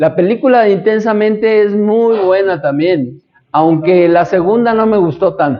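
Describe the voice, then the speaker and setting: A man talks slowly, at a fairly slow pace, his pitch varying in an ordinary way. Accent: Mexican. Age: 60s. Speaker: astrology teacher. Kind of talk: lecture. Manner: conversational.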